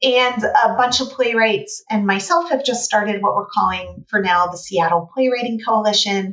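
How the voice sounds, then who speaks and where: In a plain, everyday voice, a woman with an American accent talks at a moderate pace and a fairly high pitch, with ordinary pitch variation and hardly any pauses. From United States. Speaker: playwright and writing teacher. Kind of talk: casual interview.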